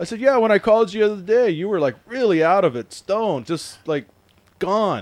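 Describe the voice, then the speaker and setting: With an American accent, a man talks at a fairly quick pace. His high voice has lively intonation. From Washington State. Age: 40s. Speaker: podcast host. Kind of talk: casual chat. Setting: studio. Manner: animated.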